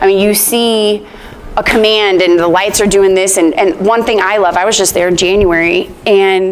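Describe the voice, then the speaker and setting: A woman talks at a medium pitch with fairly even intonation, and noticeable background noise runs behind her. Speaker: product trainer. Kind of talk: training session. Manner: fast; casual.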